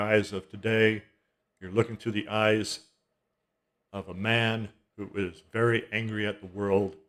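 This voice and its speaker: A man's fairly low, flat, monotone voice at a fairly slow pace, with long, frequent pauses and big swings in loudness. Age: 60s. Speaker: music commentary vlogger. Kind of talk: casual monologue. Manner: halting, with many restarts.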